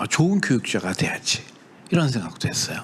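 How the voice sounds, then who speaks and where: Audible room echo follows a man as he speaks. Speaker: professor and startup CEO. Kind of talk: lecture. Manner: conversational, with many fillers and self-corrections.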